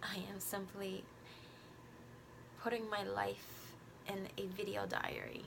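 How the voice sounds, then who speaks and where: A woman speaks at a very slow pace with long, frequent pauses, amid noticeable background noise and audible room echo. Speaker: vlogger and beauty youtuber. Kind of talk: casual talk to camera. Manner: halting.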